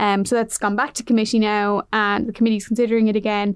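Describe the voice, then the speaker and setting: A woman speaks with an Irish accent at a fairly high pitch. The background is quiet. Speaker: news reporter. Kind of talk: interview.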